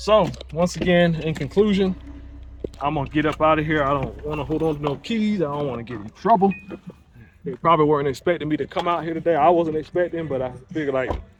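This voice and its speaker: A man at a very fast pace with ordinary pitch variation, over noticeable background noise. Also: fairly high pitch for a man. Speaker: car reviewer and content creator. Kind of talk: casual vlog. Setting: in a car at a dealership. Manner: stutters sometimes when excited; animated.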